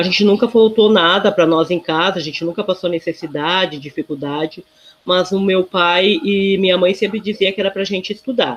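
Talking at a fairly quick pace, a woman has an unremarkable speaking voice at medium pitch with ordinary pitch variation. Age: 50s. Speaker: social worker. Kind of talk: interview.

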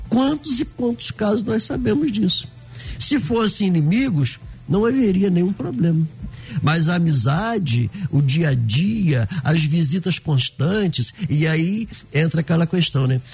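Over noticeable background noise, a man talks at a fairly slow pace in a high pitch, with very wide pitch swings and very even loudness. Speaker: pastor.

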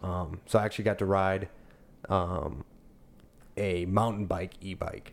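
The man speaks with a fairly low pitch. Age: 20s. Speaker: former trucker, crane apprentice. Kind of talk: casual chat.

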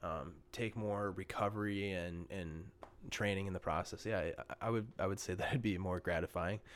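Man with a fairly low pitch and an Upper Midwest accent, fairly even intonation, on a very clean recording with a silent background. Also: moderate pace. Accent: Upper Midwest American. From Minnesota, Bloomington. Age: 20s. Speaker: podcast guest, meditation practitioner. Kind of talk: casual chat.

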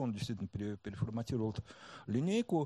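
Somewhat breathy and dark, mellow in tone, a man talks at a very fast pace with very wide pitch swings in a dry, close sound with no echo. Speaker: marketing director. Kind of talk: talk before a live audience.

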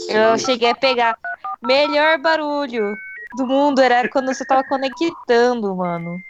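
Over noticeable background noise, a woman with a high pitch talks at a fairly slow pace using lively intonation. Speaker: podcaster. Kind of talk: casual chat.

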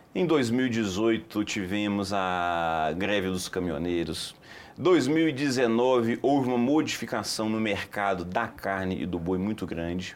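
A man's fairly low voice at a very slow pace, with lively intonation and audible room echo. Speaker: company commercial director. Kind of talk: TV studio interview.

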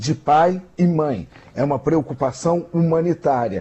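A man's fairly slow speech has a somewhat breathy quality. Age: old. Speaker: social media analyst and radio commentator. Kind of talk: radio news commentary. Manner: halting.

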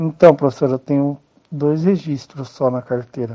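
Fairly even intonation from a man with a medium-pitched voice. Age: 20s. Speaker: adult education student, self-employed worker. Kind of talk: interview.

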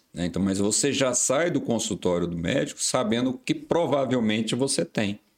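A man with a plain, everyday voice, medium in pitch, at a moderate pace with lively intonation and hardly any pauses, in a very clean recording with a silent background. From Brazil, Goiás interior. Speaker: vascular surgeon. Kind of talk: casual chat.

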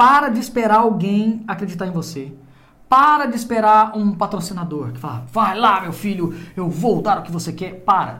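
A man speaks high, bright and sharp, raising his voice to project it with lively intonation and big swings in loudness. His pace is moderate, and the room echo is audible. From Goiás, Brazil (interior). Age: 30s. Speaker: podcast host. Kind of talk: casual interview.

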